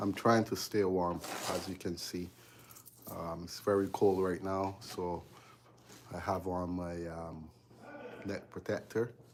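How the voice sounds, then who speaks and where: With a very deep, low pitch and monotone, flat intonation, this man speaks at a fairly slow pace, leaving long, frequent pauses. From Barbados. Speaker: electrician live-streaming his work. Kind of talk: casual live-stream chat while working. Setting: basement electrical room.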